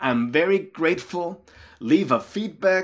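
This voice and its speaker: On a very clean recording with a silent background, a man speaks at a very slow pace and high pitch with lively intonation. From Austria. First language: German. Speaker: leadership coach and pastor. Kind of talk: motivational talk.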